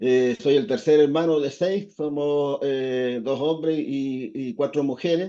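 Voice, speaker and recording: Hardly pausing at all, a man with a dark, mellow tone and fairly high pitch speaks very slowly with ordinary pitch variation. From southern Chile, Valdivia, partly raised in Santiago. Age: 60s. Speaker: fishermen's federation leader. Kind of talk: interview. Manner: hesitant, many fillers.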